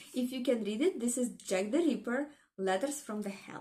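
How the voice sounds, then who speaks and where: A dark, mellow tone at a fairly slow pace. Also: woman. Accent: non-native. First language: not English. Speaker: book vlogger. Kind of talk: casual vlog chat.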